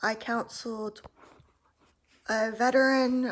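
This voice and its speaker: On a very clean recording with a silent background, a woman mumbles with an American accent and fairly even intonation. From US South (Atlanta, Georgia). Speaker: author and former prison worker. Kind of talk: casual vlog storytelling. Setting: filmed at home at night. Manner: mumbling; hesitant, many fillers.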